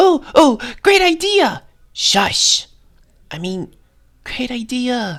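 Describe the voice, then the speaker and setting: A loud, cartoonish character voice, female-sounding and high-pitched, with very wide pitch swings, a very slow pace and long, frequent pauses. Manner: loud, excitable.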